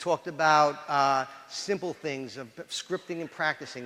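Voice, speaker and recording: A man speaks with a New York accent in a fairly high voice. His tone is bright and sharp, on a very clean recording with a silent background. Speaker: police chief. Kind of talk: lecture. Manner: animated.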